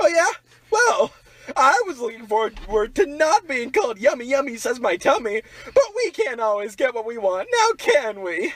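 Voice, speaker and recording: In a put-on character voice, a man speaks at an extremely high pitch with very wide pitch swings and a moderate pace. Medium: audio drama. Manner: dry, exasperated.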